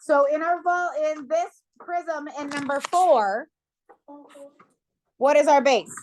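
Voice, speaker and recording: Loud and very slow, a woman speaks in a high voice with ordinary pitch variation. She leaves long, frequent pauses. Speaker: math teacher. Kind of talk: classroom lesson. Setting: classroom.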